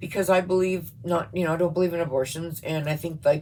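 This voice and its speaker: With a Canadian accent, a woman talks at a fairly quick pace in a very deep, low pitch that is somewhat breathy. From Canada. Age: 50s. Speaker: YouTuber. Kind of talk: political rant vlog. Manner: animated; halting.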